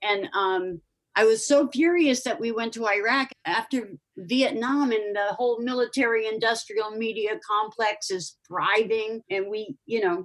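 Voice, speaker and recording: Here a woman speaks at a fairly slow pace. Her pitch is fairly high, and it varies in an ordinary way. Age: 60s. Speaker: guest having a spiritual reading. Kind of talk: casual chat. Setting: call. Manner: animated.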